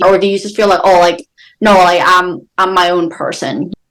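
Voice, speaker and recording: A woman's voice at a medium pitch. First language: not English. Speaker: podcast co-host. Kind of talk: casual chat. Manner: animated; halting.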